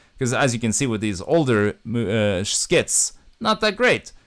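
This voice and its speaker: On a very clean recording with a silent background, a man talks at a fairly slow pace while his pitch swings very widely. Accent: Norwegian. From Norway. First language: Norwegian. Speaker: YouTuber and film director. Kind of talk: casual livestream chat. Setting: livestream from home. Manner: halting, many fillers.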